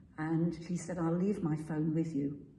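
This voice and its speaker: In a room with audible echo, a woman speaks at a very deep, low pitch, somewhat breathy and monotone. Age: 80s+. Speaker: church member sharing testimony. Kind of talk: testimony.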